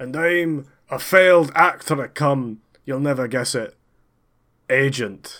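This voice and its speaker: This man has a bright, sharp tone and a fairly high pitch with ordinary pitch variation. He talks at a very slow pace with long, frequent pauses, on a very clean recording with a silent background. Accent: Edinburgh. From Scotland, Edinburgh. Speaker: comedy podcast co-host and player. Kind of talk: improv role-play game, casual chat.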